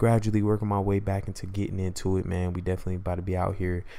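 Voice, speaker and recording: In a very clean recording with a silent background, a man talks at a very fast pace in a very deep, low voice with a dark, mellow tone. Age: 20s. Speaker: podcast host. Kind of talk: casual solo monologue. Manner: laid-back conversational.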